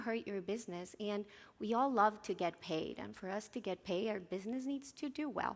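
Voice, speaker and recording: A woman with a Spanish accent, fairly high pitch, ordinary pitch variation and a moderate pace. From Colombia. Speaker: software localization engineer, conference speaker. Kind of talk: conference talk.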